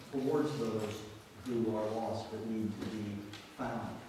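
A man in a flat monotone, with strong room echo and noticeable background noise. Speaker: pastor. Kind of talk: church announcements and introduction. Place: church.

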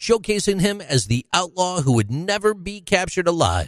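Very wide pitch swings from a man at a fairly quick pace, dry and close with no echo, in a very clean recording with a silent background. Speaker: podcast narrator. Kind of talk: true-crime narration. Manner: measured, grave storyteller.

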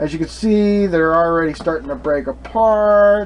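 A man is speaking. There is light noise in the background. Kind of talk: tutorial. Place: kitchen. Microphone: camera far.

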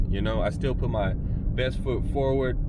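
A man talks at a moderate pace. The sound is dry with no echo, but the background noise is loud. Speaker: vlogger. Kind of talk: casual vlog chat. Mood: relaxed, candid. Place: car. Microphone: phone near.

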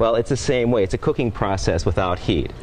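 A man talks at a very fast pace in an upbeat, enthusiastic tone, with a fairly low pitch and ordinary pitch variation. Noticeable background noise runs behind him. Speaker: cookbook author and TV cooking show host. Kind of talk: TV cooking demonstration, upbeat host presenting a recipe to camera. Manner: upbeat, friendly, enthusiastic.

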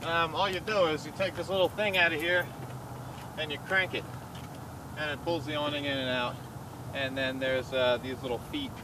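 There is noticeable background noise, and the sound is dry with no echo. A man talks at a fairly quick pace. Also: ordinary pitch variation. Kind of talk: casual tour commentary. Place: open country. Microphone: camera far.

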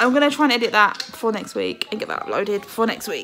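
Faint music plays behind a woman whose voice is high-pitched. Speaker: parent vlogger. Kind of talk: casual vlog chat. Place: home room. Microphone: phone near.

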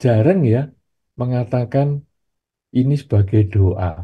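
Over a quiet background, a somewhat breathy voice with a dark, mellow tone speaks with ordinary pitch variation. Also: man. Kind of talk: sermon. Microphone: video call.

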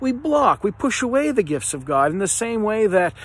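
A man's voice at a moderate pace with very wide pitch swings, in a dry recording with no echo. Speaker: speaker. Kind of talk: devotional reflection. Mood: earnest, reflective. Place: garden. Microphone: phone near.

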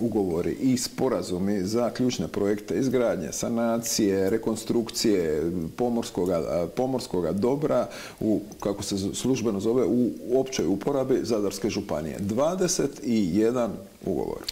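Using a plain, everyday voice, a man talks at a fairly slow pace and a fairly low pitch with lively intonation. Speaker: TV show host. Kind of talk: TV interview. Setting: studio. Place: studio. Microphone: lapel.

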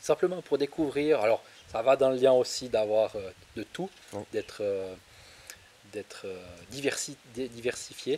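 A man with a medium pitch and a dark, mellow tone speaks at a very slow pace, with long, frequent pauses. Light background noise sits behind him. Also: ordinary pitch variation. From Switzerland. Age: 30s. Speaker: farmer; interviewee. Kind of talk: interview. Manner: hesitant, many fillers. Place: garden. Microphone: handheld.

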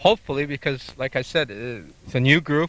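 The voice has a bright, sharp tone in a dry sound with no echo. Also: man. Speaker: historical reenactor. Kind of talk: interview. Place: open country. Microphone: handheld.

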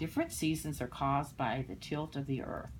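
Light background noise behind a woman's moderately paced speech. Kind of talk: read-aloud storytelling with explanations. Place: home room. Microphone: phone near.

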